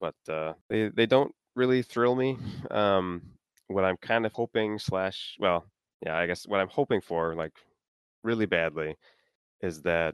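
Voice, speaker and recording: Recorded with a dry, close sound and no echo against a quiet background, a man with an American accent uses a plain, everyday voice, a fairly low pitch, ordinary pitch variation and a fairly slow pace. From US Midwest, Minnesota. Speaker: tournament-winning tabletop gamer. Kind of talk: interview.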